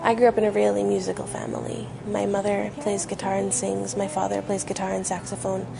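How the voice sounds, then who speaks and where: A woman speaks at a moderate pace. The room echo is audible, and there is noticeable background noise. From western Canada (Maple Ridge, British Columbia). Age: 20s. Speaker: musician. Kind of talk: interview. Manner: hesitant, many fillers.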